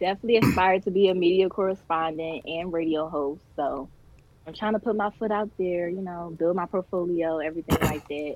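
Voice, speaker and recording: The voice moves at a fairly quick pace with fairly even intonation. Background noise is noticeable. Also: woman, fairly low pitch for a woman. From Philadelphia. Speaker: college student, model and actress. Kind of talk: interview.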